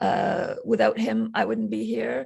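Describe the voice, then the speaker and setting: A woman talks at a moderate pace. She has an Arabic accent. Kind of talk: interview. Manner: halting, many fillers.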